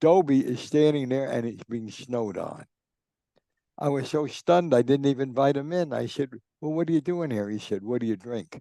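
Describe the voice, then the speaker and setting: Speaking in a New Jersey accent, a man has a dark, mellow tone, a fairly high pitch and ordinary pitch variation. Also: fairly quick pace. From New Jersey, Newark. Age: 90s. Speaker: sports journalist and author. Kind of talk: interview storytelling. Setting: podcast.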